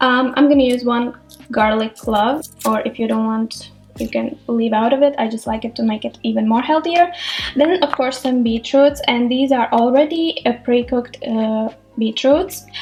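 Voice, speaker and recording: A woman with a Latvian accent and a high pitch speaks at a moderate pace with ordinary pitch variation over noticeable background noise. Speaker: cooking vlogger. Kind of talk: cooking tutorial. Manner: casual, chatty.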